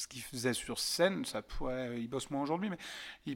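Over a silent background on a very clean recording, a man talks at a fairly quick pace. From France, Yvelines (Paris region). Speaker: stand-up comedian. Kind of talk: casual interview chat. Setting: podcast studio. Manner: loud.

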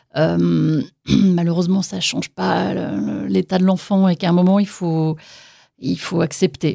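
In a very clean recording with a silent background, a woman speaks fairly slowly in a dark, mellow tone at a fairly low pitch. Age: 40s. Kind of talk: testimony. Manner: hesitant.

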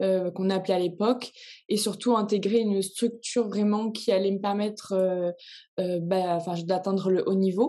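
A woman speaks at a medium pitch and a fairly slow pace in a dark, mellow tone. Her intonation is flat and monotone, and the background is quiet. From Réunion. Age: 20s. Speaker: swimmer. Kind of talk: interview.

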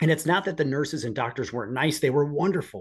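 A somewhat breathy man with an American accent talks at a very fast pace with lively intonation. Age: 40s. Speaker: police officer. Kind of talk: casual interview.

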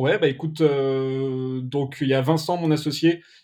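A man speaks in an unremarkable speaking voice at a medium pitch. His intonation stays fairly even. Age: 30s. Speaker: video production agency owner. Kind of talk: casual interview.

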